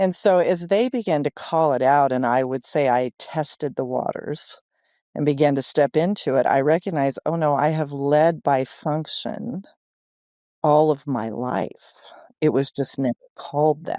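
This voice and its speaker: Recorded very clean with a silent background and a dry, close sound with no echo, a man speaks at a moderate pace in a dark, mellow tone, his fairly high pitch showing ordinary variation. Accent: American. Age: 60s. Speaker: church leader. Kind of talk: interview.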